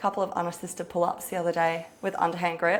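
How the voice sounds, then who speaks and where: A woman with an Australian accent. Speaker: personal trainer. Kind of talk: guided workout coaching. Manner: fast.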